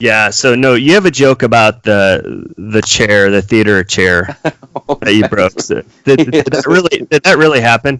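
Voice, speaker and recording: Speaking at a fairly slow pace with hardly any pauses, a man uses a plain, everyday voice at medium pitch with lively intonation. His loudness stays very even, and the sound is dry and close with no echo. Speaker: podcast host. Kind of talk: podcast hosting.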